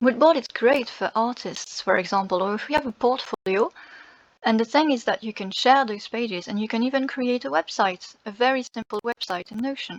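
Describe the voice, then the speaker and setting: The speaker talks at a fairly quick pace with ordinary pitch variation. The sound is dry and close, with no echo. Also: woman, fairly high pitch for a woman. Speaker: content creator and linguist. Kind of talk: screen-share tutorial. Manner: halting, many fillers. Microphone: poor sound quality.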